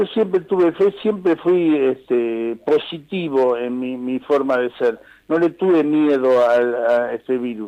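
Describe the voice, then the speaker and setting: Speaking very slowly, a man with a medium pitch and a dark, mellow tone uses lively intonation. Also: hardly any pauses. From Argentina, Pehuajó (Buenos Aires province). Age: 60s. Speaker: nurse. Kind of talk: phone interview. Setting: phone call. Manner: halting, many repetitions and fillers.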